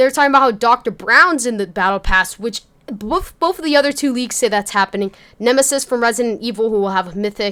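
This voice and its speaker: Bright, sharp tone with lively intonation at a very fast pace. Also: woman, fairly high pitch for a woman. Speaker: gaming YouTuber. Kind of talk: casual gaming news commentary. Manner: casual, conversational.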